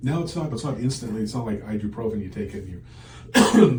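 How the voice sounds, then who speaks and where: A man is speaking amid noticeable background noise. Audible room echo is present as well. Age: 60s. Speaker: patient. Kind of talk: interview. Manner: casual, conversational.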